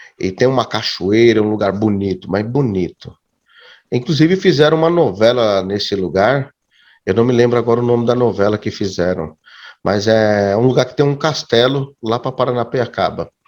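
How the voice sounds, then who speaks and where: The speaker talks at a moderate pace. Their pitch varies in an ordinary way. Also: man, medium pitch for a man. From Brazil, Santo André (São Paulo area). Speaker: youtuber and evangelical believer. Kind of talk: interview testimony. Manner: halting, with repetitions.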